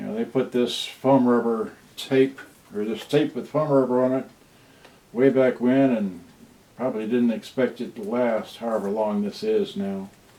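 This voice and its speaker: Over noticeable background noise, a man talks at a medium pitch with ordinary pitch variation. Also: moderate pace. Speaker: electronics repair hobbyist streamer. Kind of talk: live repair stream. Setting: home livestream. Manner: soft-spoken; halting.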